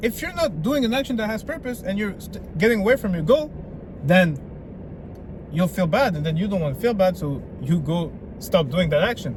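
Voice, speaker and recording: A man with a French accent and a high pitch speaks at a fairly quick pace, with very wide pitch swings and long, frequent pauses, over noticeable background noise. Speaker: self-improvement vlogger. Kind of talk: motivational vlog. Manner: animated.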